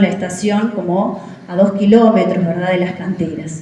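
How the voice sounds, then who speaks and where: A woman with a Uruguayan accent is heard through noticeable background noise and audible room echo. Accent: Uruguayan Rioplatense Spanish. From Uruguay, Florida department (Villa 25 de Mayo). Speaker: teacher giving a local history talk. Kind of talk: public talk. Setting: community event with audience. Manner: conversational with many fillers.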